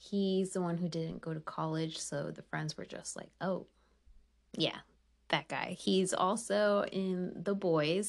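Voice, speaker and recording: Against a quiet background, a woman with a plain, everyday voice speaks at medium pitch and a fairly slow pace. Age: 30s. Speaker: podcast host. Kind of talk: casual chat.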